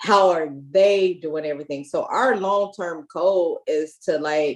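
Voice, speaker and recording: A woman with an American accent and an ordinary speaking voice, fairly low-pitched, at a fairly slow pace. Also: ordinary pitch variation. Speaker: community organizer. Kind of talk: panel discussion. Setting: video call from home.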